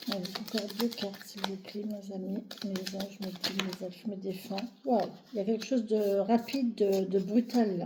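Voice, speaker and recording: Amid noticeable background noise, a woman speaks at a moderate pace in a monotone, flat intonation while her loudness swings greatly. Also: medium pitch for a woman. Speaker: tarot card reader. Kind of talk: tarot reading.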